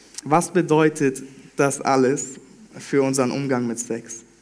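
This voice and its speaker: With audible room echo, a man talks at a medium pitch with fairly even intonation. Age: 20s. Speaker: trainee pastor. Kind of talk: sermon.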